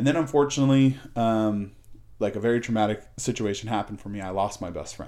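A man speaks at a fairly quick pace with fairly even intonation, his fairly low voice carrying a dark, mellow tone. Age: 30s. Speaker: podcast guest, recovered addict. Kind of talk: casual chat. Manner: halting, many fillers and repeats.

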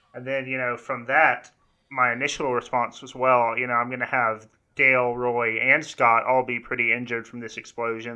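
At a fairly quick pace, a man talks in a monotone, flat intonation. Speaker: game master. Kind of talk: casual chat.

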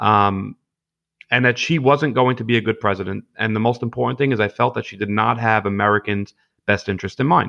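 A man talks at a fairly quick pace in a Brooklyn accent. His fairly low pitch has ordinary variation and some vocal fry. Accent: Brooklyn New York. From Brooklyn, New York (Gravesend/Bensonhurst). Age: 20s. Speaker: political candidate, construction worker. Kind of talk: podcast interview. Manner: hesitant, many fillers and repetitions.

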